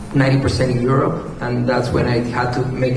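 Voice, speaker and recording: Music plays behind a man speaking in a Spanish accent, with audible room echo. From Peru. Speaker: professional salsa dancer and instructor. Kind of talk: panel interview.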